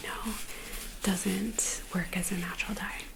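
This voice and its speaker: A woman's soft-spoken whisper at a moderate pace over noticeable background noise. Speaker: quilter and knitwear designer. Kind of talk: ASMR crafting vlog. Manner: soft-spoken, whispered.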